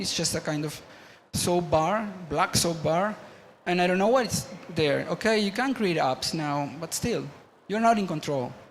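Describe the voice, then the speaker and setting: A man with a Spanish accent talks at a moderate pace in a high voice with ordinary pitch variation. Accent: Spanish-accented English, non-native. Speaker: media artist and engineer, panel speaker. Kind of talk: conference talk. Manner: halting, many false starts and fillers.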